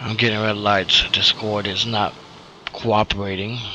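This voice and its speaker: A quiet man speaks at a moderate pace in a monotone, flat intonation with a fairly low pitch, with noticeable background noise behind him. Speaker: gaming streamer. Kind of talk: casual live stream chat. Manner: quiet, keeping voice down. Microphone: hard to hear, too quiet.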